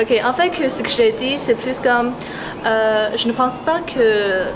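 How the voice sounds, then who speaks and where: A woman talks rather slowly, her voice carrying audible room echo over clear background noise. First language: Mandarin. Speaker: passerby interviewed on the street. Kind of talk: street interview. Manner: halting, with fillers.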